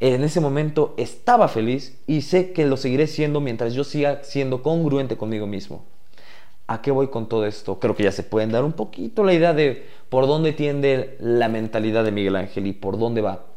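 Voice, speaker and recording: A man at medium pitch, moderate pace and ordinary pitch variation, with audible room echo. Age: 20s. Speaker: podcast host. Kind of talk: personal monologue.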